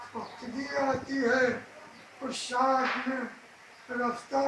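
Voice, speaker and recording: Against noticeable background noise, a man speaks in an extremely high pitch. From India. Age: 80s+. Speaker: poet. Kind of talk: poetry reading.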